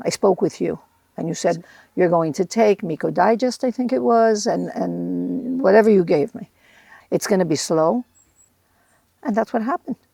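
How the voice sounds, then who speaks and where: In a very clean recording with a silent background and a dry, close sound with no echo, a woman with a dark, mellow tone and vocal fry speaks at a moderate pace and medium pitch, with lively intonation and long, frequent pauses. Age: 70s. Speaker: interviewee, mother of the host. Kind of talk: casual chat. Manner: halting.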